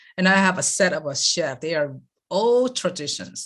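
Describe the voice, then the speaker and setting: This woman speaks in a Taiwanese accent. Her intonation is lively. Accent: Taiwanese Mandarin-accented English. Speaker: lifestyle coach. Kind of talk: interview answer.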